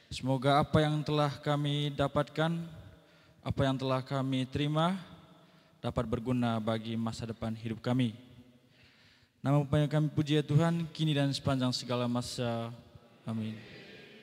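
With an unremarkable speaking voice, this man keeps a moderate pace. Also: medium pitch for a man, fairly even intonation. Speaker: seminarian student. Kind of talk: prayer.

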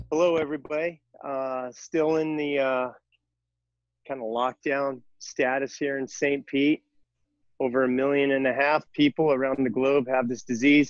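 In a monotone, flat intonation, a man speaks against a quiet background. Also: dry sound with no echo. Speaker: fitness instructor. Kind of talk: casual class introduction. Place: garden.

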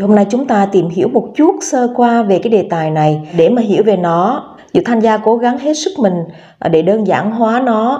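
Fairly high-pitched woman in a normal speaking voice, lively intonation and a moderate pace, over a quiet background. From Vietnam. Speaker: beauty vlogger; lifestyle vlogger. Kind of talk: vlog tutorial. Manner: casual, filler-heavy. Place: home room.

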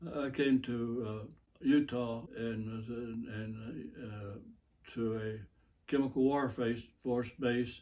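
This man speaks with an American accent. His tone is dark and mellow, and his intonation stays fairly even. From United States. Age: 80s+. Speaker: war veteran. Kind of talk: interview answer. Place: home room. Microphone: camera far.

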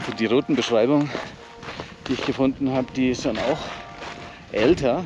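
A man is speaking with clear music in the background. The sound is dry, with no echo. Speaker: hiking vlogger. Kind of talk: casual vlog chat. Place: open country. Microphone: phone near.

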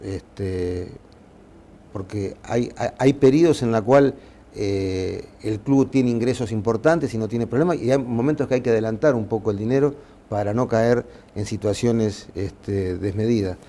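His tone is dark and mellow. The man talks at a fairly slow pace with ordinary pitch variation. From Uruguay. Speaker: football club president; interviewee. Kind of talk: interview. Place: office. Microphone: lapel.

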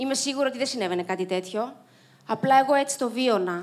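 A woman with a high pitch talks at a moderate pace with ordinary pitch variation. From Cyprus. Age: 30s. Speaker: Paralympic swimmer and motivational speaker; speaker. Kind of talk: inspirational talk. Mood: reflective, earnest. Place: stage. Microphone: handheld.

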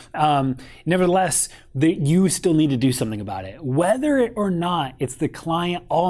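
At a moderate pace, a man speaks with lively intonation against a quiet background. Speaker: photography business coach. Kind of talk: casual advice talk to camera. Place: home room.

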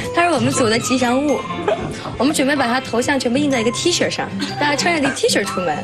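A woman at a very fast pace over clear music in the background. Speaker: talent show contestant. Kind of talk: interview answer. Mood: cheerful, warm.

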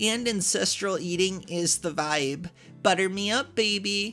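Music plays in the background as a woman speaks at a very slow pace. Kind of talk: reading a post aloud, character voice.

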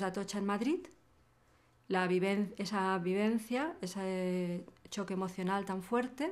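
A woman talks at a fairly slow pace. Her pitch is medium, with ordinary pitch variation. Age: 50s. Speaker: hacker and activist; interviewee. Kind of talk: interview. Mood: reflective, thoughtful. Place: studio.

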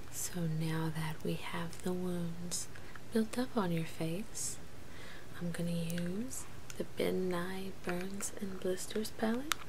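A woman's fairly low voice at a very slow pace, with ordinary pitch variation and noticeable background noise. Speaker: ASMR creator playing makeup artist. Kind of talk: ASMR role play. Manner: soft-spoken. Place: home room. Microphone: webcam.

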